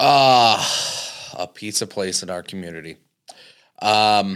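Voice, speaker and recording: Fairly low-pitched man with an American accent and ordinary pitch variation, on a very clean recording with a silent background. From Indiana, US Midwest. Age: 20s. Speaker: arcade and cafe owner. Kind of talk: casual interview.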